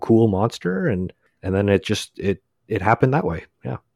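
A man speaks in an unremarkable speaking voice with ordinary pitch variation. The recording is very clean, with a silent background and a dry, close sound with no echo. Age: 30s. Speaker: comic book writer. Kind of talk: casual chat.

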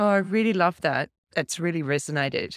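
A woman with an Australian accent speaks in a dry, close sound with no echo. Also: very clean recording, silent background. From Australia, Canberra. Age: 50s. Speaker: fashion stylist and keynote speaker. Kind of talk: casual chat. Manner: animated.

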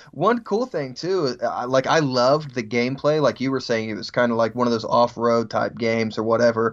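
A man with a normal speaking voice and medium pitch talks at a fairly quick pace, with hardly any pauses. His pitch varies in an ordinary way. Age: 30s. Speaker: podcaster. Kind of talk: casual chat.

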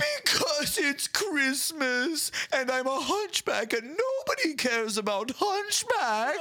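Delivered at a fairly slow pace, a put-on character voice sits at a high pitch. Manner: pitiful, sad.

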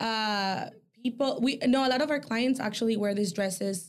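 Speaking at a moderate pace, a woman with a Mexican accent has a fairly high pitch and ordinary pitch variation. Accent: Mexican-sounding. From El Salvador. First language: Spanish. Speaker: boutique owner. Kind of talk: casual chat. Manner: hesitant with fillers.

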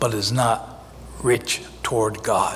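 With noticeable background noise behind him, a man speaks with an American accent. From US Northeast, North Jersey. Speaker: pastor. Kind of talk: sermon. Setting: church.

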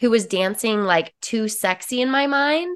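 A woman with an American accent, ordinary pitch variation, and a quiet background. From US West, small-town Utah. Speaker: empowerment coach. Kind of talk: casual interview chat.

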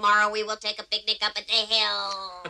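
At a fairly quick pace, a woman puts on a character voice at a medium pitch. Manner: stiff, monotone, formal.

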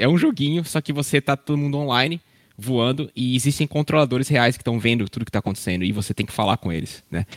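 Very fast and at a medium pitch with ordinary variation, a man speaks on a very clean recording with a silent background and a dry, close sound with no echo. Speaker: airline pilot. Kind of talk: casual chat.

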